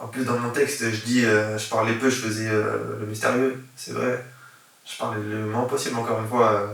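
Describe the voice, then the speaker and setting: Against noticeable background noise, a man speaks at medium pitch with monotone, flat intonation and big swings in loudness. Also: moderate pace. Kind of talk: interview answer.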